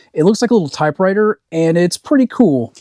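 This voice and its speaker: A man speaks in a relaxed tone with lively intonation. The sound is dry and close, with no echo. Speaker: part-time online reseller. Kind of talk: casual talk to camera. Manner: relaxed, rambling.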